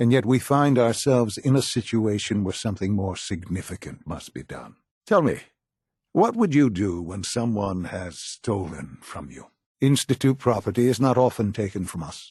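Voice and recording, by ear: A man's put-on character voice, fairly low in pitch with a husky, rough edge and big pitch swings, at a moderate pace on a very clean recording with a silent background. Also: slightly mellow tone.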